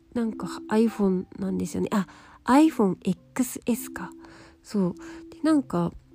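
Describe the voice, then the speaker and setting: With a dark, mellow tone and a somewhat breathy quality, a woman at medium pitch speaks with lively intonation, big swings in loudness, and long, frequent pauses. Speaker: beauty writer, podcast host. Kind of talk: casual solo talk. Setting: lying on futon while recording. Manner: relaxed, calm when lying down.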